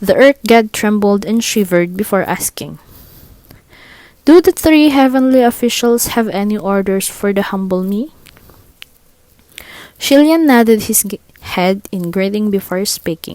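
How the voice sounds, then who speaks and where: A woman with a non-native accent speaks at a medium pitch and a fairly slow pace, with lively intonation and long, frequent pauses. The sound is dry and close, with no echo. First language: not English. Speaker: audiobook reader. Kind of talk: read story.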